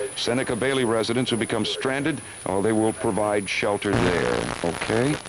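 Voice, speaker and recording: A man talks amid noticeable background noise. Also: dry sound with no echo. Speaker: radio newscaster reading closings and announcements. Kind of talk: live radio news bulletin reading closings. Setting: radio broadcast during a winter blizzard. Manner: hurried, conversational reading with ad-libbed asides. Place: studio. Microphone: old recording.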